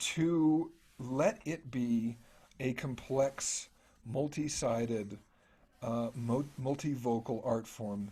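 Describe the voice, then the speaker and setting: This man has a plain, everyday voice, pitched in the medium range with ordinary pitch variation. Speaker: music scholar. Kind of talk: academic talk. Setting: video call.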